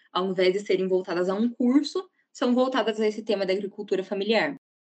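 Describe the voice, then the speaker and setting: A woman speaks with a plain, everyday voice. Her pitch is fairly high and varies in an ordinary way. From Paraná, Brazil (Ponta Grossa). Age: 20s. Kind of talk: podcast interview.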